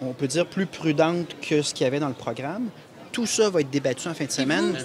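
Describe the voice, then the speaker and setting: Light background noise under a man talking fairly quickly. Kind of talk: press scrum answer. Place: hall. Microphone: handheld.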